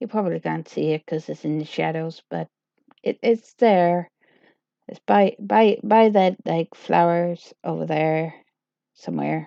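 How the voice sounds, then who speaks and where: Someone mumbles at a fairly slow pace, the sound dry and close with no echo against a quiet background. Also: woman. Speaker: livestreamer. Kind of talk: casual livestream chat. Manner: mumbling; halting.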